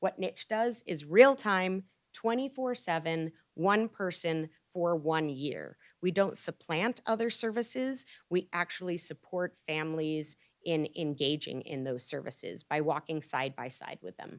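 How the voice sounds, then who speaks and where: A woman with an unremarkable speaking voice talks at a fairly slow pace in a fairly low pitch, her intonation lively. Her loudness swings widely, and the sound is dry and close with no echo. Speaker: pediatric psychologist presenter. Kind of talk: lecture. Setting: hospital grand rounds presentation.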